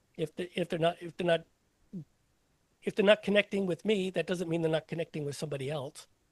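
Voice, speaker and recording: High-pitched for a man, his speech comes very fast with fairly even intonation and long, frequent pauses, in a dry, close sound with no echo. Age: 60s. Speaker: comedian. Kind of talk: casual chat. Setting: podcast. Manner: halting.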